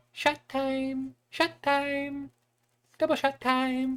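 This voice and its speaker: This is a put-on character voice, high in pitch, with a German accent. It moves at a very slow pace with monotone, flat intonation. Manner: mumbled from across the room.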